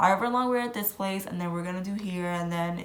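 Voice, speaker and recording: An animated woman's fairly low voice amid noticeable background noise and audible room echo. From Puerto Rican background. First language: Spanish. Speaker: travel vlogger. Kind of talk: casual vlog talk.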